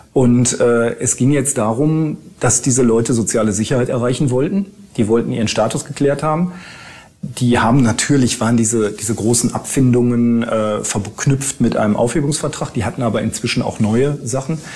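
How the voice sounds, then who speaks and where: This is a man speaking at a medium pitch. His pitch varies in an ordinary way. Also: moderate pace. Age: 50s. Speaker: lawyer. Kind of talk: interview. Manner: hesitant with frequent fillers.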